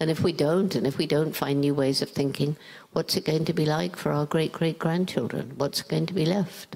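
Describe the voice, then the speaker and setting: Against a quiet background, a woman with a southern English accent talks at a moderate pace. Her pitch is very deep and low, with ordinary pitch variation. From England, London. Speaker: primatologist. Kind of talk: interview answer. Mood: calm, earnest, concerned. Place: stage. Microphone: handheld.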